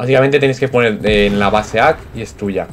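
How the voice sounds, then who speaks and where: Noticeable background noise behind a man at a medium pitch and a fairly quick pace. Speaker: gaming YouTuber. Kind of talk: gameplay commentary. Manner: halting; animated.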